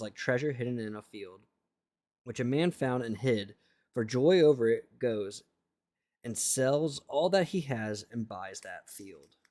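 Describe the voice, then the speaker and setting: Mumbling at a fairly slow pace, the speaker has a dark, mellow tone, lively intonation and big swings in loudness, captured on a very clean recording against a silent background. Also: man. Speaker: streamer reading the Bible aloud. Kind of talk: reading aloud with live stream chat. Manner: halting, stumbling over words.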